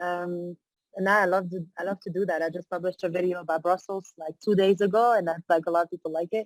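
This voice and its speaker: In a French accent, a woman talks very fast in a fairly low, monotone voice with flat intonation, the sound dry and close with no echo. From Belgium (born in Morocco). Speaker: entrepreneurship coach and author. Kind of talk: interview.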